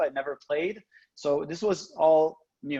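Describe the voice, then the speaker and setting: A man in a French-Canadian accent speaks at a fairly high pitch with ordinary pitch variation. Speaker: professor. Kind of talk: lecture. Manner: halting, many fillers.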